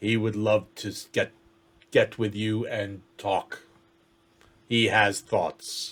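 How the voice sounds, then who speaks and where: A man's put-on character voice at medium pitch, very slow, with long, frequent pauses. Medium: actual play. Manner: formal, measured.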